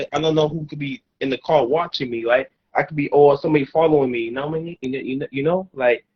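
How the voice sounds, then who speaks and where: A man's fairly high, somewhat breathy voice at a very fast pace, with fairly even intonation. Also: big swings in loudness. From South Florida (Fort Lauderdale). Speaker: upcoming rapper and producer. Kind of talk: interview. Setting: outdoors in the woods. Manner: halting, repetitive.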